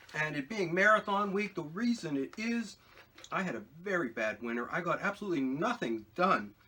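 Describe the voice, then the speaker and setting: Noticeable background noise sits behind a man with a high pitch. He speaks at a fairly quick pace with very wide pitch swings. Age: 60s. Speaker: potter and video blogger. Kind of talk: casual vlog talk while eating. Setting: home pottery studio. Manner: hesitant, many fillers.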